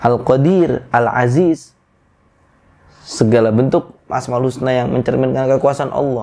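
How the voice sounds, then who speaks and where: Fairly even intonation in a dark, mellow tone at a fairly slow pace. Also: man, medium pitch for a man. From Bekasi area, Indonesia (Javanese parents). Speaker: Islamic preacher. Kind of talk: religious talk.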